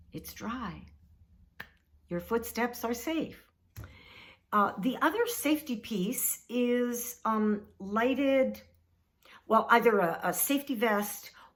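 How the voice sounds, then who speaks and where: Speaking at a very slow pace, a woman leaves long, frequent pauses. Her pitch is fairly high with ordinary variation. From Canada. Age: 70s. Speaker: retiree. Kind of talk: casual talk to camera.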